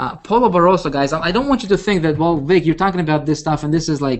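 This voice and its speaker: Speaking at a very fast pace, a man with a non-native accent shows ordinary pitch variation. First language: not English. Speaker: internet marketing coach. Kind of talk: live webinar presentation. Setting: live video hangout. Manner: animated, repetitive with many fillers.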